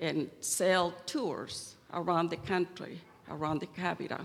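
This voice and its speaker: A woman speaks with a Chilean accent. Her voice is fairly low, and her pace is very slow. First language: Spanish. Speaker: church member giving testimony. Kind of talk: testimony.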